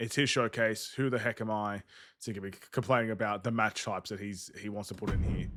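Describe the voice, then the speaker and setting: A man with an Australian accent, fairly low in pitch, at a fairly quick pace with fairly even intonation. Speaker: gaming streamer. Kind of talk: gameplay livestream commentary. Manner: casual.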